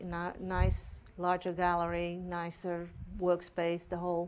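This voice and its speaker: A woman speaks with a Dutch accent. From Netherlands. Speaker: art gallery owner. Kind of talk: interview on a local TV talk show. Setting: TV studio. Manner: hesitant, many fillers.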